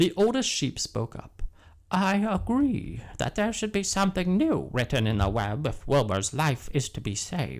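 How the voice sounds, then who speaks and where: A man puts on a character voice at a moderate pace. His pitch swings very widely. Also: fairly high pitch for a man, very clean recording, silent background. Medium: read story.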